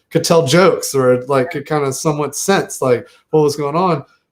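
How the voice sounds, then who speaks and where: A man with a slight Southern US accent. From US South, Southern Virginia. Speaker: podcast host. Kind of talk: casual interview chat.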